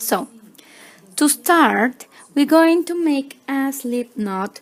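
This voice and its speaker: A woman's high voice with lively intonation at a very slow pace. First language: Spanish. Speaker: crochet tutorial maker. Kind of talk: tutorial. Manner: halting, many fillers.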